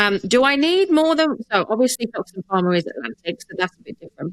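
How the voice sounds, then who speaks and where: A woman with an English accent at a very fast pace, very wide pitch swings, dry, close sound with no echo. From England. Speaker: podcast host, HR consultant. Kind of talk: casual interview.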